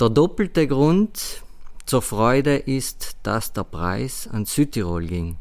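A man at a very slow pace, medium in pitch. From South Tyrol, Schnals valley. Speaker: head waiter and sommelier. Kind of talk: interview. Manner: halting.

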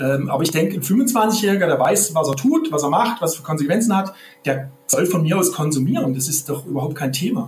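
Over music in the background, a man with a fairly high voice talks at a fairly quick pace with lively intonation. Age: 50s. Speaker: crime prevention officer. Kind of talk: podcast interview. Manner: halting, many repetitions and fillers.

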